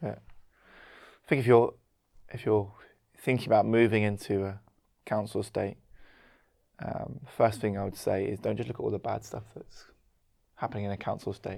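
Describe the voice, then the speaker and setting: With vocal fry and fairly even intonation, a man speaks at a moderate pace, leaving long, frequent pauses while his loudness swings widely. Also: fairly low pitch for a man. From London, England. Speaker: co-pastor. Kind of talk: casual chat.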